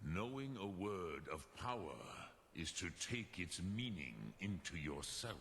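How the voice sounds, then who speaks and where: A man's put-on character voice, very deep and low, solemn in tone and fairly slow, over clear background noise. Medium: video game. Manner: slow, solemn, measured.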